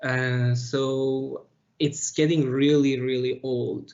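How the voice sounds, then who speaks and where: A man with a non-native accent, medium pitch and flat, monotone intonation. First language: not English. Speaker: process engineer. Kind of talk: interview. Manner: halting, many fillers.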